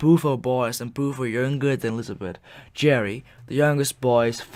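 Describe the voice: What we hear is someone reading aloud plainly.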